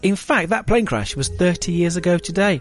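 Here a man is talking. He goes at a fairly quick pace. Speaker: radio DJ. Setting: radio studio. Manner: upbeat, chatty, warmly conversational, self-deprecating, addressing listeners directly.

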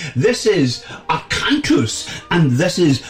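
A man with a Scottish accent speaks in a theatrical tone. Noticeable background noise sits behind him. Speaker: radio host. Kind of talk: community radio DJ patter introducing classical tracks between pieces. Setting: studio. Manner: theatrical, florid and jovial, with flowery phrases and gushing repeated thank-yous.

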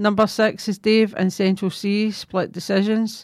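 A woman speaks at a medium pitch in a flat, monotone delivery. The recording is very clean, with a silent background. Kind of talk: radio DJ patter between songs, announcing tracks and back-announcing. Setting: community radio studio. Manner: brisk, friendly, scripted-sounding song intros and sign-off.

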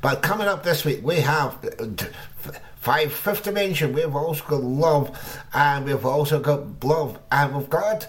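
A man's fairly high voice with ordinary pitch variation at a fairly slow pace, amid noticeable background noise. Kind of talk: radio DJ patter. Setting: radio studio broadcast. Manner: cheery, jokey showman banter.

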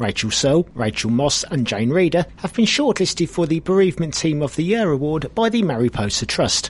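A somewhat breathy man's voice, fairly high in pitch, fairly quick, with very wide pitch swings. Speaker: local news reader. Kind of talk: news reading.

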